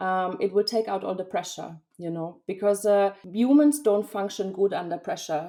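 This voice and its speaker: With a German accent, a woman speaks at medium pitch and a moderate pace, her tone dark and mellow and her pitch variation ordinary. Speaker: freelance linguist and graphic designer. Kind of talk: podcast interview. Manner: hesitant, with fillers.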